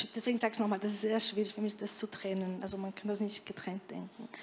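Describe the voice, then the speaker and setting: A woman with a Portuguese accent speaks fairly quickly in a monotone, flat intonation over light background noise. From Brazil. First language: Portuguese (speaking German). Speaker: panel discussant. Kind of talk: panel discussion. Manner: halting. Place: hall. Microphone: handheld.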